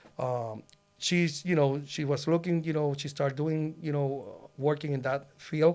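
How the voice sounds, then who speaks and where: A man speaks at a fairly slow pace in a Puerto Rican accent. His fairly high voice keeps fairly even intonation. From Puerto Rico. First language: Spanish. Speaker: loan officer, former police officer. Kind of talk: casual interview. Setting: podcast studio. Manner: halting, many fillers.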